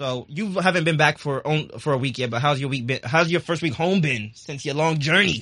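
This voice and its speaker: A man with a normal speaking voice talks at a fairly high pitch. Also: ordinary pitch variation. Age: young. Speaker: podcast host. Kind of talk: casual chat.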